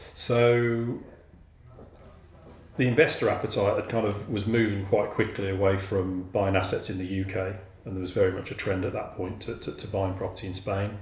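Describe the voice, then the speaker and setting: A man with a Birmingham accent speaks in a fairly low pitch, somewhat breathy, with fairly even intonation. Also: moderate pace. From Birmingham, England. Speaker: property developer. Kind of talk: interview answer.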